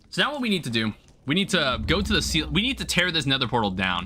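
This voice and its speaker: A man races along very fast, his pitch swinging very widely, while music plays in the background. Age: 20s. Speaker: gaming streamer. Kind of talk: live gameplay stream commentary. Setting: live stream. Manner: casual, conversational.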